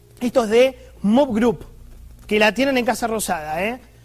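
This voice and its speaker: A man's high-pitched, animated voice at a fairly slow pace. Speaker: political commentator. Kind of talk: opinion monologue.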